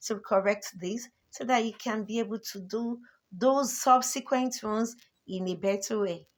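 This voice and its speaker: A woman with an unremarkable speaking voice talks at a medium pitch with fairly even intonation, recorded very cleanly against a silent background. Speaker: teacher. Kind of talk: lecture.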